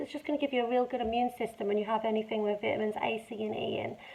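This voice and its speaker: A woman speaks with a British accent. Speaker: vlogger sharing her cancer journey. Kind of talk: casual talk to camera. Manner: halting, word-finding pauses.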